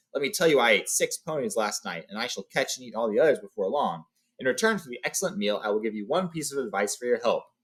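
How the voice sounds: Quiet background behind a natural reading voice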